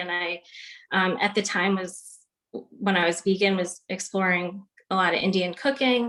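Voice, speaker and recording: A woman with an American accent, an unremarkable speaking voice, medium pitch and a moderate pace. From Long Island, New York. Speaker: nutritionist, panelist. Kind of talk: panel discussion. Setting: video call.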